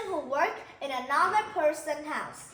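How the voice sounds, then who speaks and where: A raised, projected voice with a Vietnamese accent, lively intonation and a fairly slow pace, set against audible room echo and noticeable background noise. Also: woman. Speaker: teacher. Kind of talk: lesson.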